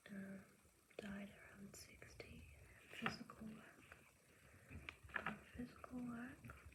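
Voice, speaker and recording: A woman whispers at a very slow pace with long, frequent pauses. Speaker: teacher. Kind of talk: casual talk to camera, reading and note-taking. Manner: soft-spoken, ASMR.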